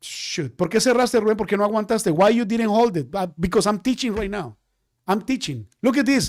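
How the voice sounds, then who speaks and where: On a very clean recording with a silent background, a man talks at a fairly quick pace and high pitch, with ordinary pitch variation. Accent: Spanish. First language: Spanish. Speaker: day trading teacher. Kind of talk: live-stream trading class.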